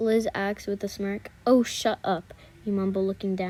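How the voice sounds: The recording carries a natural reading voice.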